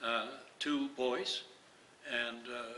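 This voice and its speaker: There is audible room echo and noticeable background noise as a man talks at a medium pitch. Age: old. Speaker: retired priest and activist. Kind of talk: interview. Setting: community event.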